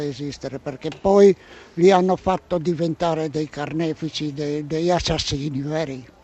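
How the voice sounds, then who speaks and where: Fairly slow pacing marks this man's speech. He keeps his intonation fairly even. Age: 80s+. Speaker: Holocaust survivor and former partisan. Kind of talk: testimony. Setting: outdoors at a railway station. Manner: halting, with repetitions.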